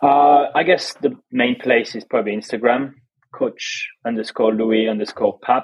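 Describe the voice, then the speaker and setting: A man talks very slowly at a medium pitch, varying it in an ordinary way. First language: French. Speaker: fitness coach. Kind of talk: casual interview chat.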